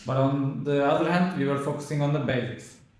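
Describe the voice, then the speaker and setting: Audible room echo surrounds a man who speaks with a Turkish accent. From Turkey. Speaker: immigrant, speaking student. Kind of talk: interview.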